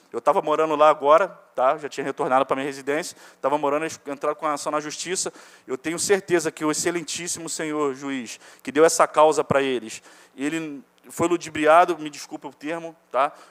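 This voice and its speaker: A man at a fairly high pitch speaks in a monotone, flat intonation at a fairly quick pace, with big swings in loudness. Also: dry, close sound with no echo. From Ilha Grande, Rio de Janeiro state, Brazil. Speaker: evicted resident. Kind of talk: public hearing testimony. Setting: municipal chamber hearing.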